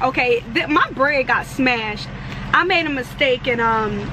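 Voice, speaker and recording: At a very slow pace, a woman speaks in a raised, projected voice over noticeable background noise. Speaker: truck driver vlogger. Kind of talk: casual vlog chat. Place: car. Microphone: phone near.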